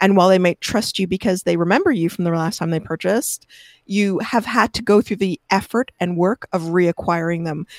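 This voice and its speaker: A woman's ordinary speaking voice, medium in pitch with ordinary pitch variation, fairly quick in pace, dry and close with no echo. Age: 50s. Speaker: SEO expert. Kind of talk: interview.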